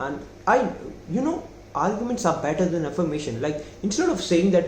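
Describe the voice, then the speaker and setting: Audible room echo surrounds a man with a high-pitched voice who speaks at a moderate pace with lively intonation. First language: not English. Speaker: self-improvement youtuber. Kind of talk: casual monologue. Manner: halting.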